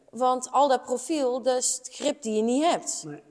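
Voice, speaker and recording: A woman's high-pitched voice with lively intonation at a moderate pace, over noticeable background noise. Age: 30s. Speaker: motorcycle mechanic and workshop teacher. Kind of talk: interview conversation.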